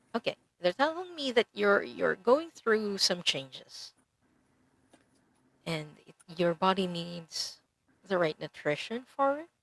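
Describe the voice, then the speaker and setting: Speaking at a fairly slow pace with long, frequent pauses, a woman at medium pitch makes very wide pitch swings and big swings in loudness. The sound is dry and close, with no echo. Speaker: Akashic Records reader and energy healer. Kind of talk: oracle card reading on live stream.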